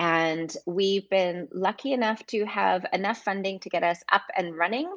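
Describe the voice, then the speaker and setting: A woman with an unremarkable speaking voice talks at a fairly slow pace and a fairly low pitch, with ordinary pitch variation and a quiet background. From Vancouver, Canada. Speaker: film producer at a streaming platform. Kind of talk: interview.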